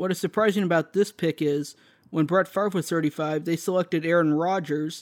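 This is a plain, everyday voice from a man with an American accent, fairly high in pitch, with fairly even intonation at a moderate pace. The sound is dry and close with no echo, on a very clean recording with a silent background. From Texas, McKinney. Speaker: sports podcaster. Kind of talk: solo sports commentary podcast.

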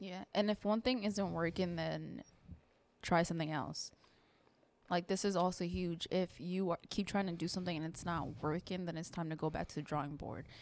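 A woman speaks in a normal speaking voice at a moderate pace. Her intonation is fairly even, and the recording is very clean with a silent background. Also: fairly low pitch for a woman. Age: 20s. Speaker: podcast host and content creator. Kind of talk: casual chat.

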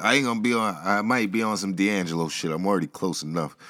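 Talking at a fairly quick pace, a man has a fairly low pitch. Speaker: podcast host. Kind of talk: solo monologue podcast. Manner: casual, off the cuff.

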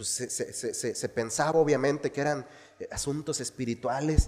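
A man with a fairly high pitch, animated, warm tone, ordinary pitch variation and a moderate pace. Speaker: pastor. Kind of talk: sermon. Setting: church. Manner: earnest, didactic preaching, repeating key phrases for emphasis; exhorting the congregation, animated and warm.

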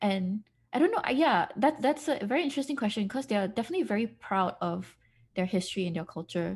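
A somewhat breathy woman's voice, fairly high in pitch, with very wide pitch swings and a very fast pace, over a quiet background. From Malaysia. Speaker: podcast co-host. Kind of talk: casual chat.

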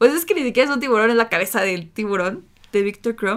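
Very rapid delivery from a woman, her voice pitched fairly high. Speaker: podcast co-host. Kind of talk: casual chat.

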